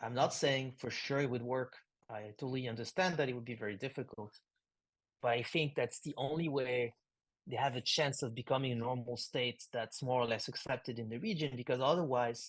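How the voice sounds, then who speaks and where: Speaking at a fairly quick pace, a man keeps a medium pitch and fairly even intonation. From France. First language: French. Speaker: philosopher and writer. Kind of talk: interview conversation. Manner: halting, many fillers.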